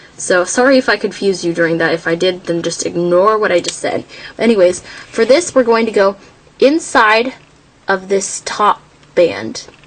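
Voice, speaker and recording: Noticeable background noise sits behind a woman's voice. She speaks at medium pitch with ordinary pitch variation. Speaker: craft tutorial creator. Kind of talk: tutorial. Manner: slow.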